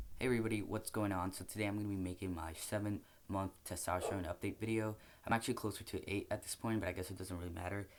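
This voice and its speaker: Talking very fast, a man speaks at a fairly low pitch. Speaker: vlogger. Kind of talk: casual vlog update. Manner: casual, hesitant with fillers.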